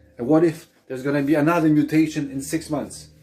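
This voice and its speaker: A man's fairly high-pitched voice at a fairly quick pace, with ordinary pitch variation and music in the background. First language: not English. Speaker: vlogger. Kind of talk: opinion rant to camera. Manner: animated.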